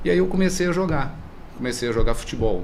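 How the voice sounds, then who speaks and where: A man talks with lively intonation. The room echo is audible, and there is noticeable background noise. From Brazil, Teresópolis (Rio de Janeiro state). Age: 60s. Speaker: sports club president and former athlete. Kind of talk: podcast interview. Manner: conversational, relaxed.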